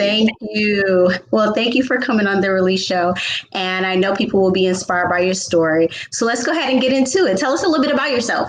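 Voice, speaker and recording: Over noticeable background noise, a woman talks at a very fast pace with a medium pitch, lively intonation and very even loudness. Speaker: talk show host. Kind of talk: talk show hosting.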